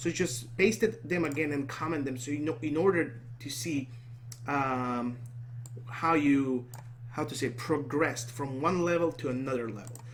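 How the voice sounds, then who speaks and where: With audible room echo and noticeable background noise, a man speaks at medium pitch and a moderate pace with ordinary pitch variation. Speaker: programming tutor. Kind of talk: screen-recorded coding tutorial. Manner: halting, self-correcting.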